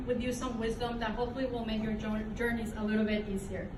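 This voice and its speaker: A woman with a Mexican accent talks in a fairly high pitch. Noticeable background noise and audible room echo surround her. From Mexico. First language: Spanish. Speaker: alumna speaker. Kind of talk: inspirational speech. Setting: dinner event with audience. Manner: halting.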